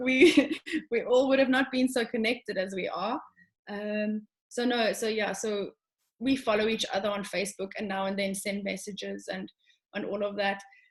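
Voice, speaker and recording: A woman's voice at a moderate pace, in a South African accent. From South Africa, Johannesburg. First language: Afrikaans. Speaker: show jumping rider. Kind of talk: casual interview.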